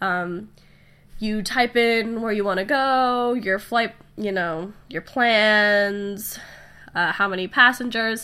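Nasal and slow, the voice has ordinary pitch variation, a bright, sharp tone and a clear, smooth tone. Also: woman, medium pitch for a woman.

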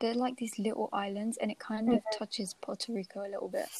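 The sound is dry and close, with no echo. The voice is somewhat breathy, with fairly even intonation. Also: woman. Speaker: podcast host. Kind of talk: casual chat. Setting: at home late at night.

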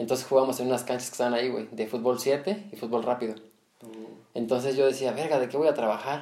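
A man's very fast speech at medium pitch, dark and mellow in tone, with ordinary pitch variation. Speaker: podcast host. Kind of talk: casual chat.

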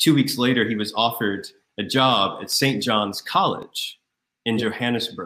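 A man speaks at a medium pitch in an unremarkable speaking voice. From US South, Raleigh, North Carolina. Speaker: deacon. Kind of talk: interview.

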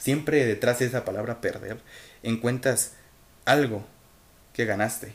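A man with a Mexican accent speaks at a moderate pace in a somewhat breathy voice of medium pitch. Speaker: podcaster and amateur writer. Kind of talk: motivational monologue. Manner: halting, self-correcting speech; animated, emphatic.

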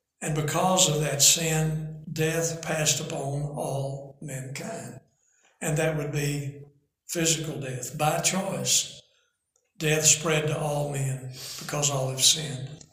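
A man speaks at a very slow pace with fairly even intonation and a fairly high pitch. Audible room echo can be heard. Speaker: preacher and author. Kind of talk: bible teaching. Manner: reading from notes.

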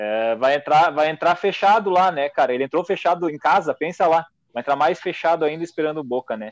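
In a plain, everyday voice, the speaker moves at a fairly quick pace with ordinary pitch variation, the sound dry and close with no echo. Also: man, fairly high pitch for a man. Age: 30s. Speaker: football podcast co-host. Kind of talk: casual chat.

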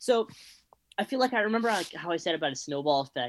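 The sound is dry and close, with no echo. A man talks with a Californian accent. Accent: Californian American. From Los Angeles, San Fernando Valley. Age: 20s. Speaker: student, music club member. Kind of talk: casual chat.

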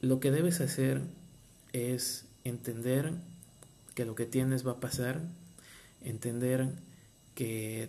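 A man talks at a very slow pace. His medium-pitched voice has a dark, mellow tone. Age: 30s. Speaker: marine biologist and podcaster. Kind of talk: personal testimony and motivational talk. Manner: hesitant, with fillers and repetitions.

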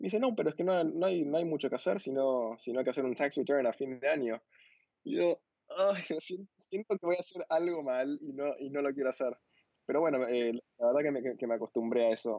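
A man with an ordinary speaking voice talks at a fairly quick pace, his fairly high pitch carried by lively intonation. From Argentina, Buenos Aires. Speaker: visual developer and designer. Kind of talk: casual interview.

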